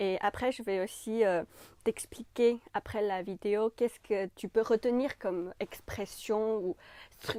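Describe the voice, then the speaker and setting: With a Chinese accent, a woman speaks very slowly at a fairly high pitch in a dark, mellow tone with ordinary pitch variation, on a very clean, dry, close recording with no echo and a silent background. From China. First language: Chinese (speaking French). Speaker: French language YouTuber. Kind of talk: channel introduction to camera. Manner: casual with frequent hesitations.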